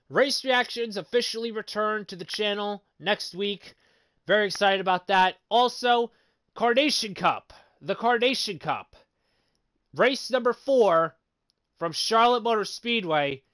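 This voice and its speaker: Over a quiet background, a man with a high-pitched voice speaks at a fairly slow pace with long, frequent pauses, the sound dry and close with no echo. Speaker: sim racing league commentator and YouTuber. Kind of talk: live stream broadcast chat. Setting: live online broadcast. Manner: stuttering, frequent repetitions; halting, many fillers.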